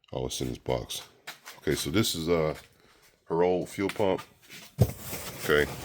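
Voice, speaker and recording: Lively intonation runs through a man's very deep, low-pitched voice. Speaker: YouTuber doing car repair. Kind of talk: casual tutorial. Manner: hesitant, many fillers.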